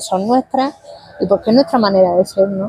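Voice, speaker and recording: A woman at medium pitch speaks with lively intonation. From Spain, Murcia region (Lorca). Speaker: novelist. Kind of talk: interview. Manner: hesitant, self-correcting.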